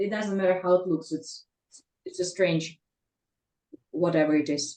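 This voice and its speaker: Her voice is fairly low for a woman, dark and mellow in tone, with fairly even intonation at a moderate pace. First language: Russian. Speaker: English learner in study group. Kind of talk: language practice conversation. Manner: halting.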